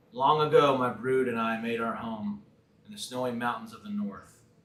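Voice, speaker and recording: A man's put-on character voice, resonant and medium-pitched, at a moderate pace with slight echo. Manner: slow, storytelling.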